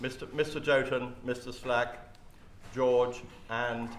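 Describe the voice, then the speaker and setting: In a room with audible echo and noticeable background noise, a man speaks at a medium pitch. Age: 70s. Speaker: retiring golf club member. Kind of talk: farewell speech. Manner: informal, joking.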